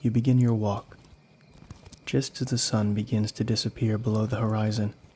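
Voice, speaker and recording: Fairly low in pitch and somewhat breathy, a man speaks at a moderate pace in a dark, mellow tone, with very even loudness and fairly even intonation. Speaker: horror story narrator and author. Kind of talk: horror ASMR story narration, second person.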